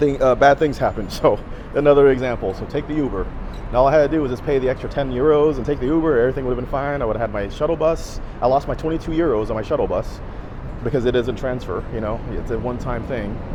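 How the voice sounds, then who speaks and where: Speaking at a very fast pace with fairly even intonation, a man is heard over noticeable background noise with audible room echo. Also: medium pitch for a man. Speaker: travel vlogger. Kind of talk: casual vlog monologue. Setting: outdoors, walking in city. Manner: halting, repetitive; loud.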